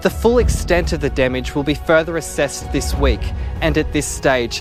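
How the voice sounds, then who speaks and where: Music plays in the background as a man with an Australian accent talks at a moderate pace. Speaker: TV news reporter. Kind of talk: TV news report.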